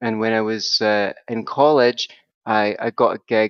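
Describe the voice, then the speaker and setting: The intonation is monotone and flat. The speaker has a Scottish accent. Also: man. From Scotland. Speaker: psychotherapist and author. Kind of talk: podcast interview. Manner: chatty.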